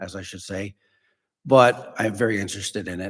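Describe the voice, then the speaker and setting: The speaker is a man. His intonation remains fairly even throughout. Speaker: city council applicant, former police chief. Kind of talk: public interview at council meeting. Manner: loud; hesitant, many fillers.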